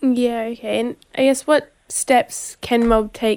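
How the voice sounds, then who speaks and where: Speaking with an Australian accent, a woman uses a fairly high voice. She goes at a fairly slow pace with monotone, flat intonation. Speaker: radio host. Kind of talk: interview. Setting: outdoor event.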